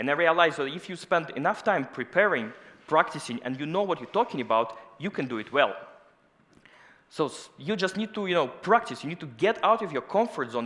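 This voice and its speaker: In a Russian accent, a man talks at a fairly quick pace in a high, bright, sharp voice with very wide pitch swings. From Russia, Moscow. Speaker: scientist. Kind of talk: conference talk.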